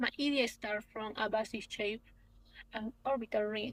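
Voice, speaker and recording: A woman with a Peruvian accent speaks at a moderate pace and a fairly high pitch. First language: Spanish. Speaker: young researcher, architect. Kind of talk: conference presentation. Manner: halting.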